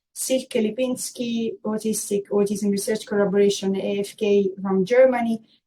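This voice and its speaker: Somewhat breathy and dark, mellow in tone, the voice moves at a fairly slow pace with an Italian accent. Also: woman. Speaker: workshop moderator. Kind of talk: conference moderation. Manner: hesitant, many fillers.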